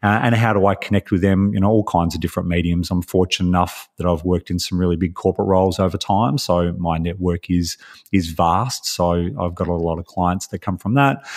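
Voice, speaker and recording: A man with an Australian accent and a very deep, low pitch talks fairly quickly with hardly any pauses and fairly even intonation, in a dry, close sound with no echo. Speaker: life impact coach, podcaster. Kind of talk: casual interview chat.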